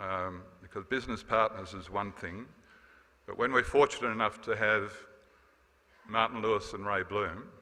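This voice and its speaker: This man speaks with an Australian accent. His voice sits at a fairly low pitch. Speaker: former association president. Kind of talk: farewell speech. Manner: fast.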